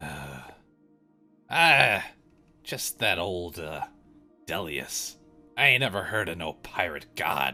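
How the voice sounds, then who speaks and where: A man's put-on character voice, raspy and very deep, at a fairly slow pace with long, frequent pauses and faint music in the background. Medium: actual play. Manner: rough dialect, plainspoken.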